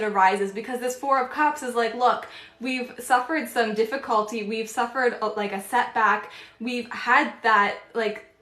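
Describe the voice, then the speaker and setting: Noise in the background is clearly noticeable. The voice rises and falls in an ordinary way. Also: woman. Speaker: tarot reader. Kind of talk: live-stream tarot reading. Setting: live stream. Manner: fast.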